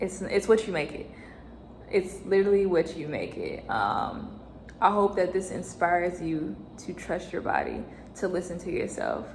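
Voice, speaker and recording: A woman talks at a moderate pace with a medium pitch. Audible room echo and noticeable background noise are present. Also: ordinary pitch variation. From United States. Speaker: vlogger and new mother. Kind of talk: personal vlog storytelling.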